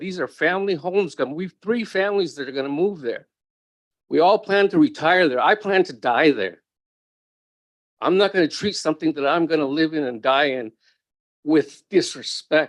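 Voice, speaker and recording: Against a quiet background, a man with a fairly high pitch speaks at a moderate pace with lively intonation, the sound dry and close with no echo. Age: 60s. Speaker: public testifier. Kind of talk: public testimony. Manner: emotional.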